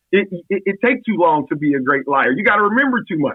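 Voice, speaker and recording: Loud and energetic, this voice moves very fast with very wide pitch swings. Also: man. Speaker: college football coach. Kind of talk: podcast interview.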